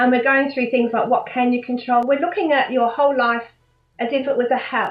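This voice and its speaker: A woman's high pitch with fairly even intonation at a fairly quick pace. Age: 60s. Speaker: life coach. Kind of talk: interview.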